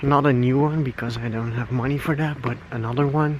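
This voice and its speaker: This man speaks with a Flemish accent at a medium pitch and fairly even intonation. Noticeable background noise sits behind him. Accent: Flemish Dutch accent in English. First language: Dutch. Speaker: vlogger. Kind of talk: casual vlog rant. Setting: outdoors, walking at night. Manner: halting, many fillers.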